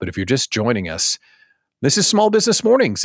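A man speaks in an animated tone with very wide pitch swings. The recording is very clean, with a silent background. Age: 40s. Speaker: podcast host and business coach. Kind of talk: casual livestream talk.

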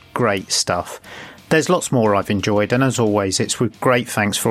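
With ordinary pitch variation, a man talks at a fairly low pitch while noticeable background noise carries on. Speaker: podcast producer. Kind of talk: recorded message. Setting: hotel room.

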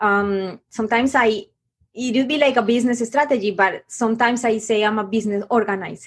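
In a Spanish accent, a woman speaks at a fairly quick pace and fairly high pitch with fairly even intonation. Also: very even loudness. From Colombia. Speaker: business coach. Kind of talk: interview. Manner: halting.

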